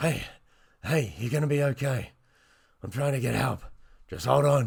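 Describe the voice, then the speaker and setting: A man puts on a raspy character voice at a medium pitch. He talks at a moderate pace with ordinary pitch variation. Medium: read story.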